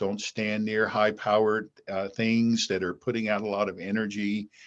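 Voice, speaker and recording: This is a man speaking. His pitch is fairly low. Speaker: physician, former space agency medical director. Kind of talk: interview. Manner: fast.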